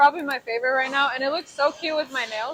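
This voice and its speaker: Speaking at a very fast pace, a woman projects a raised voice with a high pitch. Her tone is bright and sharp, with ordinary pitch variation. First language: Spanish. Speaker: machinist and shop owner. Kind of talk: casual Q&A interview.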